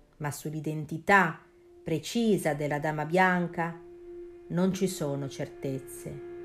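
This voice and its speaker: A woman's very deep, low voice with a dramatic tone, fairly even intonation, a very slow pace and long, frequent pauses. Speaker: podcast host. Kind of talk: scripted ghost story narration, spooky and hushed. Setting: studio. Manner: slow, suspenseful, dramatic.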